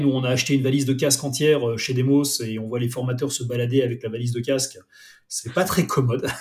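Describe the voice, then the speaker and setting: Here a man speaks at a medium pitch. His delivery is somewhat breathy and fairly quick. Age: 40s. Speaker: director of innovation at a training company. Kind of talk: casual interview. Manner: hesitant, many fillers.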